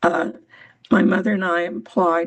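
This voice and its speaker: The speaker has an American accent and audible vocal fry. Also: woman. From US, Pennsylvania. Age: 80s+. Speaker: retired women's rights volunteer. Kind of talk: personal testimony on a member call. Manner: halting.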